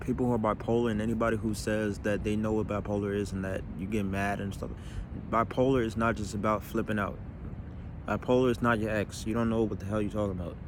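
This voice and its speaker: Very fast and monotone, with flat intonation, a man speaks in a fairly low pitch with audible room echo. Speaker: comedian. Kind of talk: personal monologue video. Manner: fast pressured speech, words stumbling; stammering repetitions.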